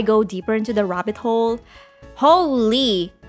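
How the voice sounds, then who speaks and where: Music plays in the background as a woman speaks. She talks at a moderate pace with fairly high pitch. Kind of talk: casual storytime narration to camera.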